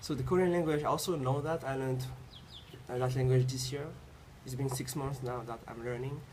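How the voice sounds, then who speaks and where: Amid noticeable background noise and room echo, a man speaks with fairly even intonation and long, frequent pauses. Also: medium pitch for a man. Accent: French. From Tahiti. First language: French. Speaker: university student. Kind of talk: interview. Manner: halting, frequent repetitions.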